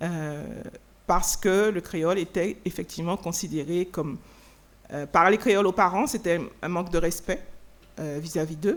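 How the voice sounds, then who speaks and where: A woman at a fairly low pitch, fairly slow pace and ordinary pitch variation, with long, frequent pauses, on a very clean recording with a silent background. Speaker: writer. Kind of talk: Q&A answer at a lecture. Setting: lecture hall with audience. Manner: hesitant, many fillers and repetitions.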